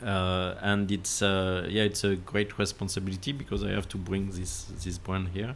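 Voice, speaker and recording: The speaker has a French accent and a moderate pace. Intonation stays fairly even. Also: man. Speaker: landscape architect. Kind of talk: podcast interview. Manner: halting, many fillers.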